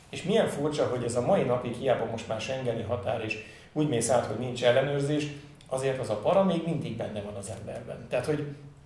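A man at a medium pitch, talking at a fairly quick pace, with audible room echo. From Nyíregyháza, eastern Hungary; Hungary. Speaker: TV sports journalist. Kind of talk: casual interview chat. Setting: studio. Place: home room.

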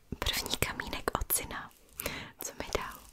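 A woman whispers at a very slow pace. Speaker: content creator. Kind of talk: soft-spoken show-and-tell (ASMR style). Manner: soft, tender close-mic talk. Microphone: studio mic.

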